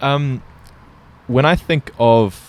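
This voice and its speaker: A man talks with a New Zealand accent. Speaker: podcast host. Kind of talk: casual conversation.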